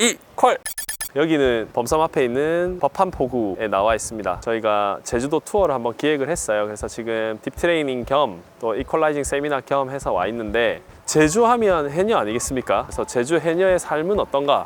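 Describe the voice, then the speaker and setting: His pitch is fairly high and swings very widely. The man keeps a moderate pace. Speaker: freediving instructor, channel host. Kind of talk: casual interview host talk.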